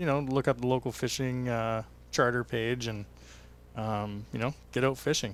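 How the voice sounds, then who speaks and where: A medium-pitched man in a Western Canadian accent keeps his intonation fairly even. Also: moderate pace. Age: 30s. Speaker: tourism association president. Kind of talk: casual interview. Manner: hesitant, many fillers.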